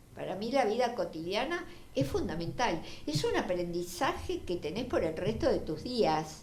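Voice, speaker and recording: A woman speaks at a fairly slow pace with very wide pitch swings. There is audible room echo and noticeable background noise. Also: medium pitch for a woman. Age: 70s. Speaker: feminist activist and writer. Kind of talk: interview. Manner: halting.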